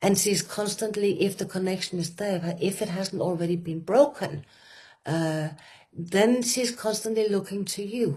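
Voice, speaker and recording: A woman with a Danish accent speaks at a moderate pace, her tone dark and mellow and somewhat breathy. Her pitch sits in the middle range with ordinary variation. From Denmark. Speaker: retreat facilitator. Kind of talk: conversational talk. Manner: halting, with many fillers.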